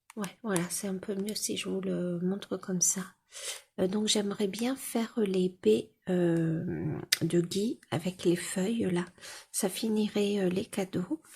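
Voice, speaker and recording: Somewhat breathy, a woman talks at a very slow pace and medium pitch with ordinary pitch variation. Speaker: vlogger. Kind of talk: casual vlog chat. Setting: at home. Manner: hesitant, many fillers; soft-spoken.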